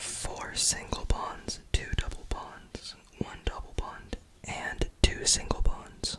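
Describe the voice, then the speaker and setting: A man whispers at a very slow pace over noticeable background noise. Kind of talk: ASMR roleplay, soft-spoken. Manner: soft-spoken, quiet, whispery.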